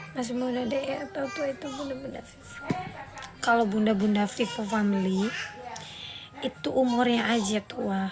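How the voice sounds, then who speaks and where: A woman with a fairly high pitch speaks at a moderate pace with ordinary pitch variation, over noticeable background noise and audible room echo. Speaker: singer and live streamer. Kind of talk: casual live stream chat.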